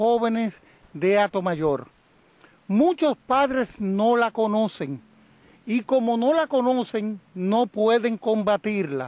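Very slowly, a man talks in a high voice with lively intonation. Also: dry sound with no echo. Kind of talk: press interview statement. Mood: firm, campaigning. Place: open country. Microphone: handheld.

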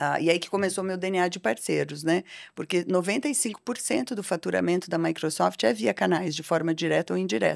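A woman's fairly low voice with vocal fry and very wide pitch swings, at a moderate pace with hardly any pauses, over a quiet background. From Brazil, Londrina (Paraná). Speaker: technology executive and board advisor. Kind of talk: podcast interview. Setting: studio. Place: studio. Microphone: studio mic.

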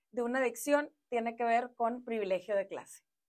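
Against a quiet background, a woman talks with a fairly high pitch and ordinary pitch variation. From Mexico, Monterrey; Nuevo León, Mexico. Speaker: politician, former city councillor. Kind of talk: interview. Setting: studio. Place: studio. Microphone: lapel.

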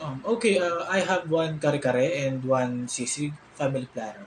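This man speaks at a fairly slow pace over light background noise. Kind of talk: acted phone conversation. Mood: hesitant, casual. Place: home room.

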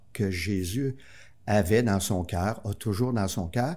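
A man with a Quebec accent and a fairly low pitch. He speaks at a very slow pace in a dark, mellow tone. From Quebec City suburbs, Quebec. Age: 60s. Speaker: priest guest. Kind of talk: interview; blessing. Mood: warm, reflective. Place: studio. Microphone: studio mic.

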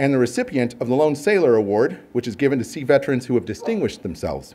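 Very fast speech from a man at a fairly high pitch. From US West Coast, southern California (Downey); California. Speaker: marine scientist; host introducing the lecturer. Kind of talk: formal speaker introduction. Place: hall. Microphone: podium.

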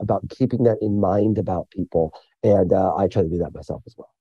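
A man talks with a Midwestern American accent. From rural central Illinois (Mattoon). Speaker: author and journalist. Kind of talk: interview conversation. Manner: animated.

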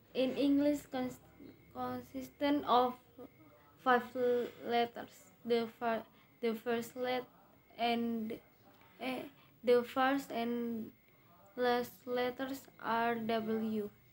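A woman with a high pitch speaks very slowly in a monotone, flat intonation, leaving long, frequent pauses. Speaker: English student. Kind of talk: reading aloud in lesson. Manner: halting, stumbling over words.

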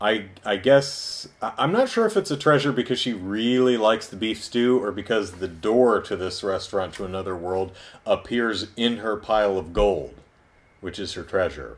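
A man speaks at a moderate pace. His fairly low voice shows ordinary pitch variation. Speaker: video reviewer. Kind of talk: review commentary. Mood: wry, amused retelling. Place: home room. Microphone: camera far.

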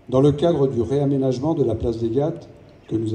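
The voice has a dark, mellow tone and sounds somewhat breathy, with ordinary pitch variation. Light background noise can be heard. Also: man. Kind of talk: formal commemorative speech. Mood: solemn. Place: street. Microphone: pa.

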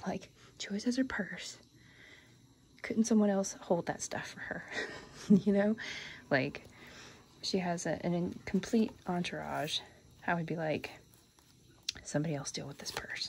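Soft-spoken and somewhat breathy, a woman with an American accent talks at a moderate pace with ordinary pitch variation, big swings in loudness and long, frequent pauses over light background noise. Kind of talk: casual show-and-tell to camera, reading card text aloud. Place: home room. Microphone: phone near.

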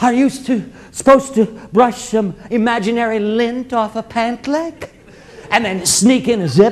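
Here a man speaks with an extremely high pitch. His pace is moderate and his pitch variation ordinary. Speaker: storyteller performer. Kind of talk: theatrical monologue storytelling. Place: stage.

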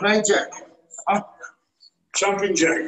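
With music in the background and audible room echo, a man with a high pitch speaks at a very slow pace. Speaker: fitness coach. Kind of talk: workout instruction. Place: gym. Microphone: camera far.

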